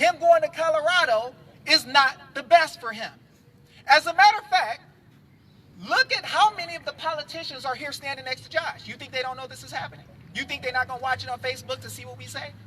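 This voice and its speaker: A man speaks in an animated tone with a raised, projected voice at an extremely high pitch, very fast, with ordinary pitch variation. His loudness swings widely, and there is noticeable background noise. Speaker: activist speaker at a rally. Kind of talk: public speech to a live crowd.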